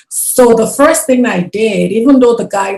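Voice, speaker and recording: A woman with a non-native accent and lively intonation, talking at a moderate pace. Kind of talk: interview.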